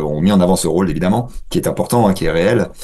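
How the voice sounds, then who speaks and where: Noticeable background noise behind a man's very deep, low voice at a fairly quick pace. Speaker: political science lecturer. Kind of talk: radio interview. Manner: halting, many hesitations.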